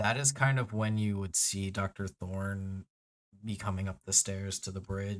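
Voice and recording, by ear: Natural-sounding reading aloud against a quiet backdrop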